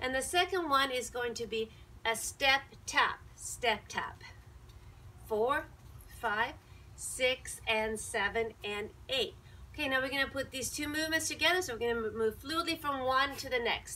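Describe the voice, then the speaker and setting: A woman speaks in a raised, projected voice at a fairly slow pace with ordinary pitch variation. Long, frequent pauses break up her words. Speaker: fitness instructor. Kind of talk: exercise class instruction and counting. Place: garden. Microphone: camera far.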